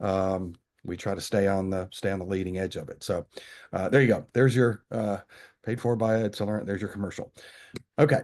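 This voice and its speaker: A man with an American accent, fairly low-pitched with ordinary variation, at a fairly quick pace broken by long, frequent pauses, over a quiet background. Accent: Southern US (self-described redneck accent). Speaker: company representative presenting a webinar. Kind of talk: business webinar presentation. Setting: video webinar. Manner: casual, filler-heavy with many repetitions.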